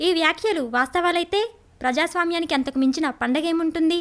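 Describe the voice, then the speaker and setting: Her pitch extremely high, a woman talks with ordinary pitch variation. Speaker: dubbing artist. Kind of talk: documentary narration.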